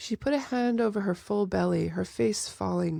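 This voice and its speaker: Recorded very cleanly against a silent background, a woman speaks at a fairly slow pace in a dry, close sound with no echo. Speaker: audiobook author-narrator. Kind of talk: audiobook reading of fantasy fiction.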